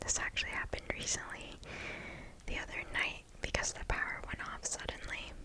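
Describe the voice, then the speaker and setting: Noticeable background noise runs under this recording. A woman whispers at a moderate pace. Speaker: ASMR creator. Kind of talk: casual chatting to the audience after the story. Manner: whispered, soft-spoken.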